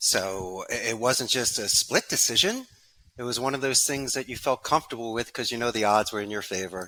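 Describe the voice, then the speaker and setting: A man with a Philadelphia accent, fairly quick and bright, sharp in tone, on a very clean recording with a silent background. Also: medium pitch for a man, ordinary pitch variation. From Philadelphia, US. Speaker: call center business owner. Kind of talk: podcast interview.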